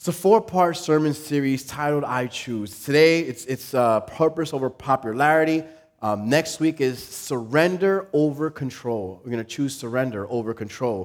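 With a plain, everyday voice, a man talks at a moderate pace with hardly any pauses, lively intonation and a fairly high pitch. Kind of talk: guided imagery exercise within a sermon, eyes-closed visualization. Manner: playful, warm, lightly joking.

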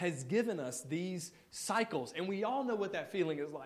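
The speech goes at a moderate pace with audible room echo. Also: man. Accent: American. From Mississippi, US South. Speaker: guest preacher. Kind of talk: sermon. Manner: casual with filler words.

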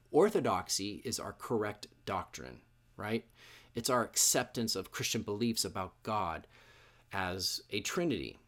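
Recorded very cleanly over a silent background, a man with an American accent speaks at a fairly slow pace and fairly low pitch. His intonation is lively, with vocal fry in the voice. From Washington State, US (Issaquah). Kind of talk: sermon. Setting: church. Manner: hesitant, many fillers.

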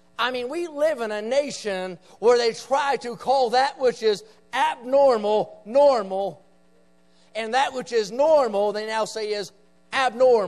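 A man with an Appalachian accent speaks at an extremely high pitch and a fairly slow pace. His tone is animated, and his pitch variation is ordinary. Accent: Appalachian Southern American. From West Virginia, rural Appalachia. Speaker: visiting preacher. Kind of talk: revival sermon, fiery evangelical preaching on the nation's moral decline. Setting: church meeting with live congregation. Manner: emphatic, punchy call-and-response with repeated 'say amen' prompts; animated, rising intensity with folksy asides and jabs.

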